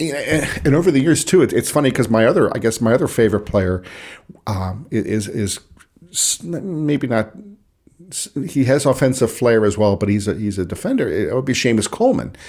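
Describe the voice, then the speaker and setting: A man talks at a fairly quick pace. His voice sits at a medium pitch with lively intonation. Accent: Pittsburgh. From Pittsburgh, US. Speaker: sports writer and Everton fan. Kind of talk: casual chat. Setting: video call.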